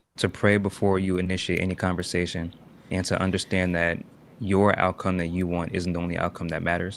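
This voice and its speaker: Soft-spoken and very deep, low in pitch, a man talks at a moderate pace in a monotone, flat intonation on a very clean recording with a silent background. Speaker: live streamer. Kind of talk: casual chat.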